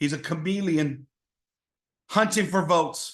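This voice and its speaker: The setting is quiet. A man talks with ordinary pitch variation. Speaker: podcast host. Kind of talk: opinion monologue. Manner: loud; passionate, yelling at times.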